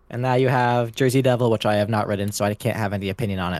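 Talking at a very fast pace with an American accent, a man keeps a fairly low pitch and fairly even intonation. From Los Angeles, California. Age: 20s. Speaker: podcast guest, roller coaster enthusiast. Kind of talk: casual chat.

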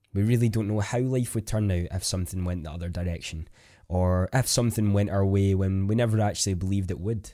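In a Scottish accent, a man talks at a very fast pace with a dark, mellow tone, fairly low pitch and fairly even intonation, on a very clean recording with a silent background. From Scotland. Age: 20s. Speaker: podcast host, content creator. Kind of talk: solo podcast monologue.

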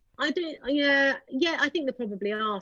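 In a plain, everyday voice, a woman talks at a moderate pace with ordinary pitch variation, the sound dry and close with no echo. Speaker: psychologist. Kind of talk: casual chat.

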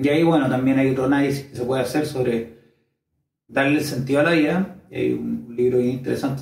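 Somewhat breathy and medium in pitch, a man speaks at a fairly quick pace. His voice shows ordinary pitch variation, and audible room echo surrounds it. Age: 30s. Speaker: YouTuber sharing personal experiences. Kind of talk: personal monologue video.

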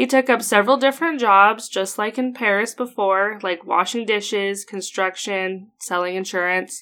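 With an Idaho accent, a woman speaks in a bright, sharp tone with ordinary pitch variation and hardly any pauses, on a very clean recording with a silent background. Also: medium pitch for a woman, moderate pace. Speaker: history podcast host. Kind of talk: casual chat. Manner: laughs often.

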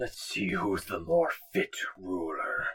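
This is a put-on character voice. It moves along at a fairly slow pace. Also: man. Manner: really slow.

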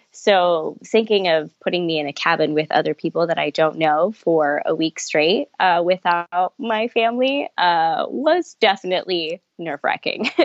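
This speaker has a Californian accent. The pace is fairly slow. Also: woman, fairly low pitch for a woman, ordinary pitch variation, hardly any pauses. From Los Angeles, California. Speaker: camp outreach coordinator. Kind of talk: interview.

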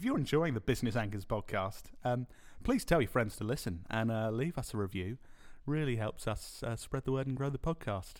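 With a British accent, a man speaks at a fairly quick pace, his medium-pitched voice showing ordinary pitch variation. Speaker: podcast co-host. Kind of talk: casual chat. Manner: laughs often.

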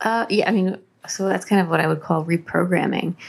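A woman's voice over noticeable background noise. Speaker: life coach and hypnotherapist. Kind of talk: interview.

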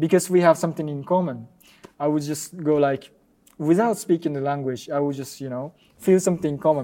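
A man with a Japanese accent speaks at a fairly quick pace with a fairly high pitch and ordinary pitch variation. His tone is dark and mellow, with big swings in loudness. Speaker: ballet dancer. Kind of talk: interview. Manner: halting.

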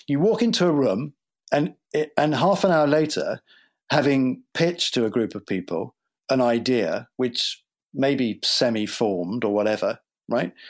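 A man with a British accent talks at a moderate pace with very wide pitch swings and long, frequent pauses. The recording is very clean with a silent background. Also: medium pitch for a man. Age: 50s. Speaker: TV writer and creator. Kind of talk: interview answers.

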